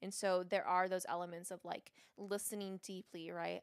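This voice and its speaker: With fairly even intonation and a medium pitch, a woman talks at a moderate pace. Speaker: podcast co-host. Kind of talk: casual chat. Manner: rambling, hesitant, many fillers.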